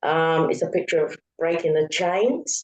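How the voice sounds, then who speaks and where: A woman talks with a London accent. Her pace is fairly slow. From London, England. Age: 60s. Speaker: author. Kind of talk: interview. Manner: halting.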